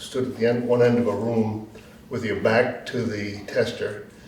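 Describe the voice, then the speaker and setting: Amid noticeable background noise and audible room echo, a man speaks at a fairly slow pace and medium pitch. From Rhode Island. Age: 80s+. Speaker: war veteran. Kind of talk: testimony.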